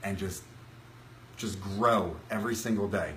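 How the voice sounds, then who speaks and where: A man speaks at a moderate pace in a fairly low pitch. His intonation is flat and monotone, and room echo is audible. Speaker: self-improvement vlogger. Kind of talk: live stream talk. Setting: Facebook live stream from laptop. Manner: halting, some stuttering.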